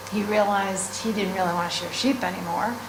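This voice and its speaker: With an American accent, a woman at a medium pitch speaks with fairly even intonation amid noticeable background noise and audible room echo. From US Northeast. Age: 60s. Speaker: sheep farmer. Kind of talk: class talk. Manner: casual, hesitant with fillers.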